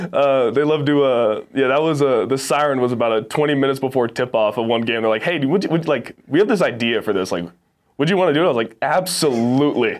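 A man with an American accent talks at a very fast pace, at medium pitch with ordinary pitch variation. His loudness stays very even. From Texas and Arizona. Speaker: college football player. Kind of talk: casual interview.

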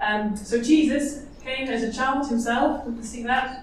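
A woman speaks at a fairly high pitch with fairly even intonation. Audible room echo and noticeable background noise surround her. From Netherlands. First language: Dutch. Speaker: nurse. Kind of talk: conference seminar talk.

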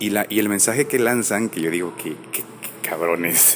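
This man's delivery is fairly slow, and his pitch varies in an ordinary way. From Guatemala. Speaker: actor. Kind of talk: interview conversation.

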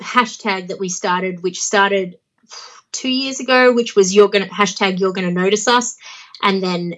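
Speaking with an Australian accent, a woman keeps a medium pitch, ordinary pitch variation and a moderate pace. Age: 30s. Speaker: professional wrestler. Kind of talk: casual interview. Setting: remote interview.

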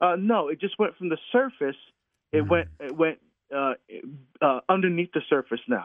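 A man with an American accent talks at a moderate pace in a high pitch. His intonation is lively, broken by long, frequent pauses. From New Jersey (Newark area). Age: 50s. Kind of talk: interview conversation.

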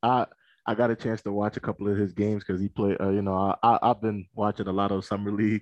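A man with a slight East Coast US accent talks at a very fast pace. His fairly low voice holds a monotone, flat intonation. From Philadelphia. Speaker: college conference staffer. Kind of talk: casual interview.

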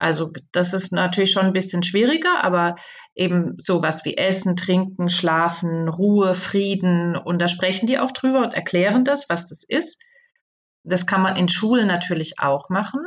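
A woman with a plain, everyday voice talks at a moderate pace in a medium pitch with ordinary pitch variation against a quiet background. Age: 50s. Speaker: communication trainer and author. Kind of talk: interview.

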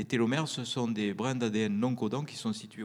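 A plain, everyday voice carries lively intonation. The pace is moderate. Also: man. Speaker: anesthesiologist and author on near-death experiences. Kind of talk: interview talk with audience Q&A. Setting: stage with live audience.

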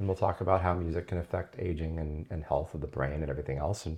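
Here a man with an American accent speaks at a very fast pace. His pitch is very deep and low, and his voice is somewhat breathy. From Southern California (La Jolla). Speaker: neuroscientist and professor. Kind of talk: casual chat while cooking. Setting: home kitchen.

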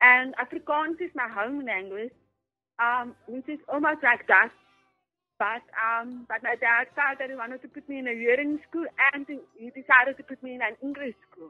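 High in pitch, a woman keeps fairly even intonation while her loudness swings widely. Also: moderate pace. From South Africa. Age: 20s. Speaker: author with hearing loss. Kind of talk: interview. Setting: phone call.

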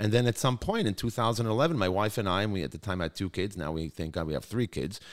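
With a New York accent, a man talks at a very fast pace in a very clean recording with a silent background. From New York (Brooklyn). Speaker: high school chief executive. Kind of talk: interview. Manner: animated.

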